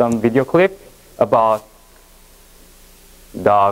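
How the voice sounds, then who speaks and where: A man speaks with a Korean accent at a very slow pace. His intonation is lively. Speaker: education presenter. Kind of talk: lecture. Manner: halting.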